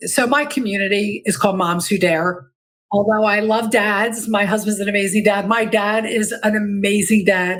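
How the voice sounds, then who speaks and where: A woman with a medium pitch speaks at a moderate pace, her loudness very even. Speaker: life transition coach and podcaster. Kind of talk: podcast interview. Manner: excitable.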